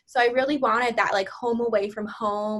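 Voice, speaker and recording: This is a plain, everyday voice moving at a fairly quick pace. Its pitch varies in an ordinary way. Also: woman. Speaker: graduate teaching assistant. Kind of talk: interview.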